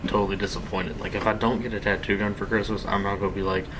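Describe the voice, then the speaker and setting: A quiet man with fairly even intonation, audible room echo and noticeable background noise. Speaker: gaming youtuber. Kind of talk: gameplay commentary. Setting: home, late at night. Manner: quiet, hushed; casual, rambling with fillers.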